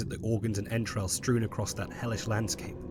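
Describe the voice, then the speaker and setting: There is noticeable background noise. Through it, a man speaks in a fairly low pitch. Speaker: lore narrator. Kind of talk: second-person horror story narration.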